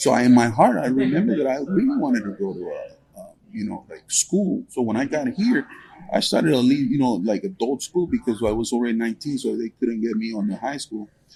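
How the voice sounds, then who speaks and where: Amid noticeable background noise, a man talks at a fairly quick pace with lively intonation and hardly any pauses. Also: medium pitch for a man. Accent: Spanish. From Guatemala. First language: Spanish. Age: 50s. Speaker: truck owner-operator. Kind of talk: interview. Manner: halting.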